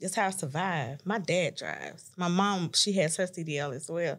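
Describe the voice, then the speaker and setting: With vocal fry and a fairly low pitch, a woman speaks at a moderate pace in an American accent with ordinary pitch variation. The recording is very clean, with a silent background. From Tennessee, US South. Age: 30s. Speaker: truck driver and business owner. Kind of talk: podcast interview. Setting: studio.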